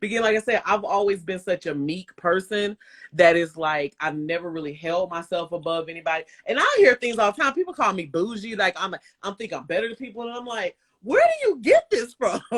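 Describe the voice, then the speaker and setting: A woman's medium-pitched, animated voice with a slight Southern US accent, fairly quick and lively in intonation, in a dry, close sound with no echo. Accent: slight Southern twang. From US South, Bremen, Georgia. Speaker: live stream host. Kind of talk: casual chat. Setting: Instagram live stream.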